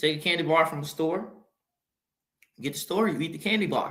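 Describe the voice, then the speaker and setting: A man's high, bright, sharp voice at a fairly quick pace with ordinary pitch variation. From Mississippi, US South. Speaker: podcast host. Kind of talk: motivational monologue. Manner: repetitive, halting.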